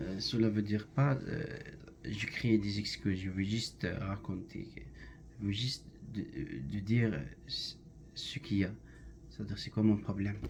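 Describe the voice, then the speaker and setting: With vocal fry and a fairly low pitch, a man talks at a fairly slow pace with long, frequent pauses. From Algeria. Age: 20s. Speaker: language student, factory worker. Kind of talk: class self-introduction presentation. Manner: halting, many hesitations.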